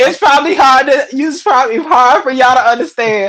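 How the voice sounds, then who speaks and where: Loud and animated, a woman with a high voice speaks with very wide pitch swings over noticeable background noise. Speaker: entertainer. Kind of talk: casual chat. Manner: loud, animated.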